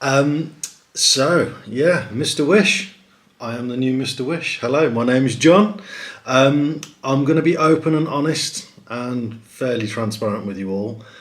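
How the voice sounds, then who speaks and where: Speaking with a British accent at medium pitch, a man moves at a fairly slow pace with lively intonation, amid audible room echo and noticeable background noise. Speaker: competition site host. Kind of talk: live stream presentation. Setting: livestream to camera. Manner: hesitant, many ums.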